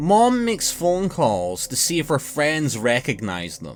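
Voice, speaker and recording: With music in the background, a man with a Scottish accent and a fairly high pitch talks at a fairly slow pace, his pitch swinging very widely. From Scotland. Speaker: narrator. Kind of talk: horror story narration.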